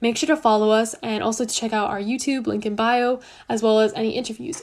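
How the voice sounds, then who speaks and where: Speaking at a very fast pace with a Canadian accent, a woman keeps a fairly high pitch and fairly even intonation. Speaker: student advice livestream host. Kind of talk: livestream Q&A. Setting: livestream.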